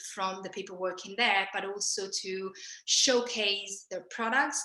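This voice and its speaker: Her tone bright and sharp, a woman speaks at a moderate pace. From Italy. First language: Italian. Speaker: fashion buying and production manager. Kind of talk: interview.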